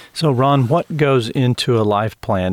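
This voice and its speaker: In a normal speaking voice, a man talks at a moderate pace and medium pitch with ordinary pitch variation, the sound dry and close with no echo. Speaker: radio host and ministry CEO. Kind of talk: radio interview. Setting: studio.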